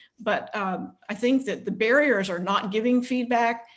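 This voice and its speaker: A woman talks with fairly even intonation. Music plays in the background. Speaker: leadership coach and consultant. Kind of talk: webinar panel discussion. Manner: fast.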